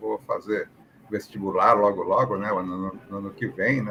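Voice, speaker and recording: Moderately paced speech over noticeable background noise. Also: man. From Brazil, São Paulo. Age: 60s. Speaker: aviation professional. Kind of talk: interview, personal story. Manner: conversational, many fillers.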